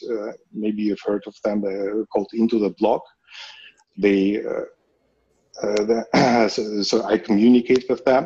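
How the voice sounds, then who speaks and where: A man speaks at a very slow pace, with long, frequent pauses and a flat, monotone delivery. His voice sits fairly low and has a dark, mellow tone. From Russia. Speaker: crypto company executive. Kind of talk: interview.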